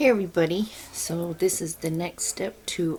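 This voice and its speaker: Soft-spoken and fairly low-pitched, this woman talks at a fairly slow pace with ordinary pitch variation. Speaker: home canning video creator. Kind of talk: cooking tutorial. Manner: trying to talk louder.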